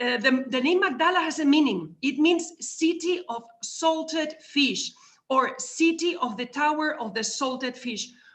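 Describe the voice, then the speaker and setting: In a Spanish accent, a high-pitched woman talks at a fairly slow pace with ordinary pitch variation. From Spain, Madrid. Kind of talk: talk at a virtual conference. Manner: halting, with many repeated words.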